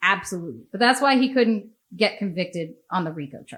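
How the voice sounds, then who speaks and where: A woman with an American accent speaks at a medium pitch in a plain, everyday voice. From United States. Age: 40s. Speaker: podcast host. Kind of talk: casual chat.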